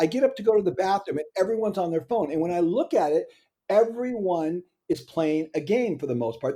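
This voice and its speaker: Here a man with a high pitch and a dark, mellow tone talks at a fairly quick pace. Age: 60s. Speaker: entrepreneur and author. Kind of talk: podcast interview. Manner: animated.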